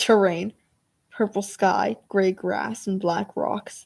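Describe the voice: The speaker reads plainly aloud with fairly even intonation against a quiet background.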